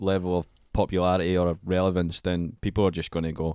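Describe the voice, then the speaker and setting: With a Scottish accent and a very deep, low pitch, a man speaks at a moderate pace on a very clean recording that has a silent background and a dry, close sound with no echo. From Scotland. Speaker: music artist. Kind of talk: casual chat. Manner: animated.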